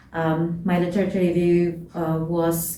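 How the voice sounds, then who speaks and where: A woman speaks in a fairly low voice, with audible echo from the room around her. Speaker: student vlogger. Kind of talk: advice vlog. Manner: halting, many fillers.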